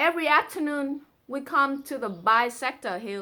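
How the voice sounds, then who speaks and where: A woman with a Vietnamese accent uses a raised, projected voice at a high pitch with very wide pitch swings. Her tone is bright and sharp, and her pace is moderate. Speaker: amateur poetry reader and explainer. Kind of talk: reading aloud a translated poem with commentary.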